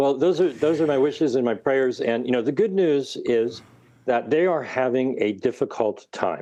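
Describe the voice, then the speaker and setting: With a plain, everyday voice, a man speaks at a medium pitch and moderate pace with lively intonation over a quiet background. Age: 60s. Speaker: researcher and author. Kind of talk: interview.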